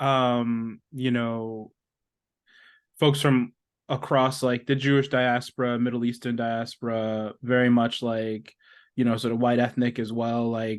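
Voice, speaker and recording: A man with a New York accent speaks at a fairly slow pace in a monotone, flat intonation. The background is quiet. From New York, Brooklyn. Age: 30s. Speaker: writer and podcast co-host. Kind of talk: interview.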